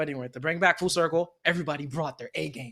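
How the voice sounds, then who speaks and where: Bright and sharp in tone, a man talks at a very fast pace in a fairly high voice. His delivery is animated, on a very clean recording with a silent background. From outside the US. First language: not English. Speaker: anime podcast co-host. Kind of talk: casual chat.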